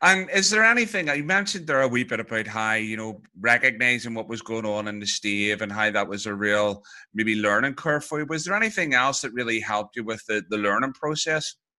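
Over a quiet background, a man with a Northern Irish accent speaks at a fairly quick pace in a medium pitch. His tone is bright and sharp, with lively intonation. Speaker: podcast host. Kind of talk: interview.

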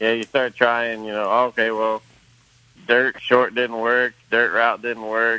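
The tone is bright and sharp, at a moderate pace. The sound is dry and close, with no echo. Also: man. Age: 30s. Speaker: racehorse trainer. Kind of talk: casual interview. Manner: halting, many fillers.

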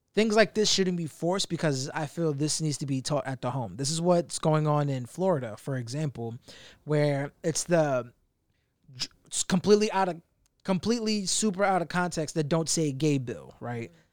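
Very clean, silent-background audio of a man with a fairly high pitch, lively intonation and a moderate pace. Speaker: podcast host. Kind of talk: casual chat. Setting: studio. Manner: animated.

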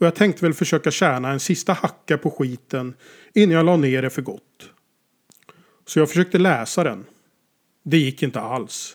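On a very clean recording with a silent background, a man with a fairly high pitch and ordinary pitch variation talks at a moderate pace with long, frequent pauses. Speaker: author. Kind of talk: scripted narration.

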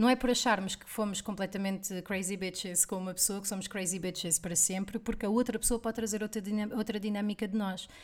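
A woman speaks at a medium pitch with fairly even intonation, in an unremarkable speaking voice. Her pace is fairly quick, with hardly any pauses. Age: 30s. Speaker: podcast co-host. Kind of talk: casual chat.

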